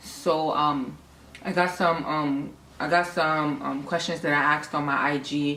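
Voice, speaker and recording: A woman with a New York accent speaks over noticeable background noise, her voice carrying an audible room echo. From New York, Harlem. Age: 20s. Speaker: vlogger. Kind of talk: casual vlog Q&A. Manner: hesitant, many fillers.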